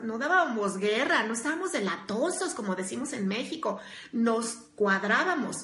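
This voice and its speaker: At a moderate pace, the speaker has an animated tone and lively intonation, with audible room echo and noticeable background noise. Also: woman. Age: 40s. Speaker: workplace coach and speaker. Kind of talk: live stream talk.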